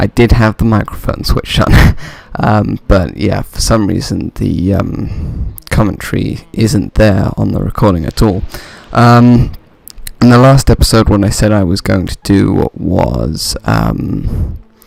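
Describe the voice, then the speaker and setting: A quiet man's voice at a fairly slow pace. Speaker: gaming video commentator. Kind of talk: let's play commentary. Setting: home recording at night. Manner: quiet, keeping voice down; hesitant, many fillers.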